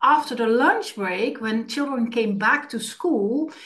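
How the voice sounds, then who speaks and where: Fairly high-pitched and lively in intonation, a woman with an ordinary speaking voice speaks at a fairly slow pace. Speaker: puppeteer, former teacher. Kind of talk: interview answer.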